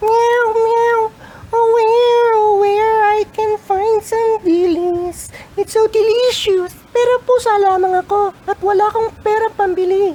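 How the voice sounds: A man's put-on character voice at an extremely high pitch, fairly slow in pace, with clear background noise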